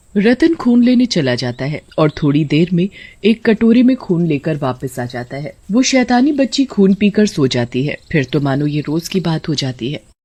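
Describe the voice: Her voice low with a slightly husky edge and a dark, mellow tone, a woman speaks at a moderate pace with big pitch swings and few pauses.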